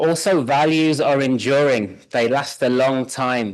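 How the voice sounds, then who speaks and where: A man speaks with a British accent at a fairly high pitch. The background is quiet. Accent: British accent, noticeable. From United Kingdom. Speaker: conference presenter, social scientist. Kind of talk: conference presentation.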